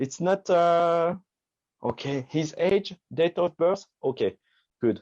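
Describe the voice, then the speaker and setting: A man with a French accent and a high pitch, at a fairly slow pace, with a dry, close sound with no echo and a quiet background. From France. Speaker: magician. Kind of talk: product demo in live video chat. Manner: halting, many fillers.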